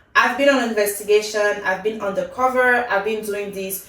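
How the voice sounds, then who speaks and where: Over noticeable background noise and audible room echo, a woman talks in an animated tone at a moderate pace with ordinary pitch variation. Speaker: K-drama reviewer, YouTuber. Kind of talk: casual review monologue.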